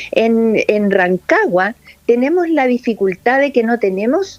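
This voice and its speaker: Here a woman with an unremarkable speaking voice talks at a fairly slow pace, her fairly high pitch carried by lively intonation. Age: 60s. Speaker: lung specialist doctor. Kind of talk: interview.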